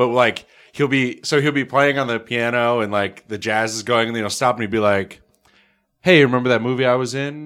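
In an ordinary speaking voice with an American accent, a man speaks fairly quickly at a medium pitch, his intonation fairly even. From northern New York. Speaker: podcast host. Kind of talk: casual chat.

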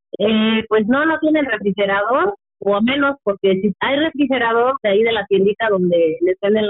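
A woman's voice at medium pitch, with music in the background. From Mexico, Michoacán. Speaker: relative of a prisoner. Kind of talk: testimony.

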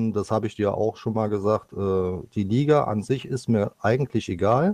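A man with an unremarkable speaking voice and medium pitch talks at a moderate pace. His pitch variation is ordinary, and the background is quiet. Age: 50s. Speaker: esports goalkeeper player. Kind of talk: podcast interview.

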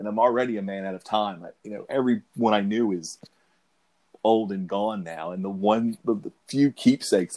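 At a moderate pace, a man with a fairly low pitch speaks with fairly even intonation in a dry, close sound with no echo. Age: 40s. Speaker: comic book fan on a podcast. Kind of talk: casual chat. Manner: halting, with many repetitions.

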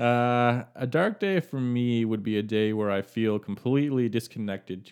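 On a very clean recording with a silent background, a man with an ordinary speaking voice talks at a moderate pace with ordinary pitch variation. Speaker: guest. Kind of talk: interview chat about family and mental health.

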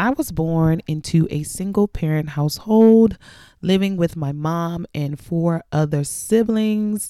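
In a very clean recording with a silent background, a woman speaks fairly slowly in a dark, mellow tone at a fairly low pitch with ordinary pitch variation. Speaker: podcast host. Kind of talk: solo podcast monologue, personal storytelling. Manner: casual, conversational with fillers.

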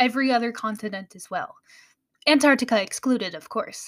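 A woman with an American accent, high-pitched, with ordinary pitch variation, on a very clean recording over a silent background. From United States. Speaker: podcast host. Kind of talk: scripted educational podcast narration.

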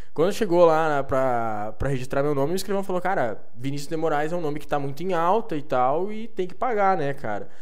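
With hardly any pauses and a fairly quick pace, a man uses an ordinary speaking voice, fairly high in pitch, with lively intonation. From Rio Grande do Sul border, southern Brazil. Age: 20s. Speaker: marketing entrepreneur. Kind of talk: casual interview.

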